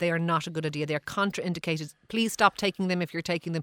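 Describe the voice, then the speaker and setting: Recorded very cleanly against total silence, an Irish-accented voice sounds dry and close with no echo, its intonation fairly even. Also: woman. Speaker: GP answering listener health queries. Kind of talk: radio health advice segment.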